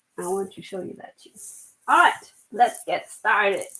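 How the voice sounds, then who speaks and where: At a fairly slow pace, a woman talks with a German accent. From Germany. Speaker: knitwear designer. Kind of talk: casual chat. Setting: live stream. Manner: halting.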